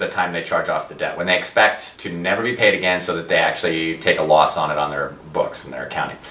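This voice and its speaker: The man rushes along at a very fast pace, with noticeable background noise and audible room echo around him. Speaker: debt settlement advisor. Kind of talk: educational talk to camera.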